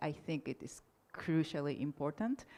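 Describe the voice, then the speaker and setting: With a Japanese accent, a woman speaks at a moderate pace in a dark, mellow tone, her pitch swinging very widely. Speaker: political science academic, panelist. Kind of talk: conference panel Q&A. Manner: halting, frequent self-corrections.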